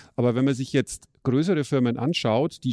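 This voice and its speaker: A man's voice has a dark, mellow tone and ordinary pitch variation. The sound is dry and close, with no echo. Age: 50s. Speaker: software developer, podcast co-host. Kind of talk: casual chat; reading aloud.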